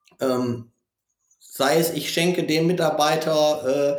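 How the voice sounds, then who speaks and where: The speech melody is mostly flat. It is a man who talks. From northern Germany, Osnabrück. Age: 30s. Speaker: gaming consultant and former esports champion. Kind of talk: interview. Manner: frequent filler hesitations.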